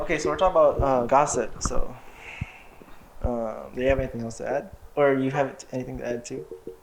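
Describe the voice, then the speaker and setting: Over noticeable background noise, a man talks very fast but breaks off with long, frequent pauses. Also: fairly high pitch for a man, fairly even intonation. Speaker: student club podcast co-host. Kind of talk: casual chat.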